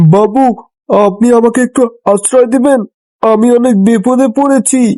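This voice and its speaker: A man's cartoonish character voice, extremely high in pitch, at a fairly slow pace with a dry, close sound and no echo. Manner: fearful.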